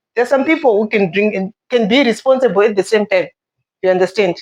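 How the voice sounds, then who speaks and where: At a fairly quick pace, a woman talks in a fairly high voice. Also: dry, close sound with no echo. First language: not English. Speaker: guest in discussion. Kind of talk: casual discussion.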